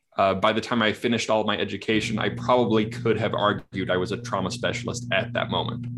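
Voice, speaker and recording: Over noticeable background noise, a man at medium pitch talks at a very fast pace in a monotone, flat way with hardly any pauses. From Kamloops, British Columbia, Canada. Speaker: trauma therapist. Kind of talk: interview, casual conversation.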